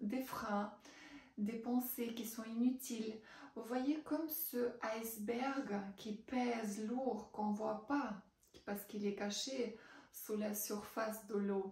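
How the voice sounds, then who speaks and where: Spoken very slowly in a Russian accent with fairly even intonation, the clip carries noticeable background noise and audible room echo. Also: woman, fairly high pitch for a woman. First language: Russian (speaking French). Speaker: writing coach. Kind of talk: promotional testimony. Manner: hesitant, many fillers.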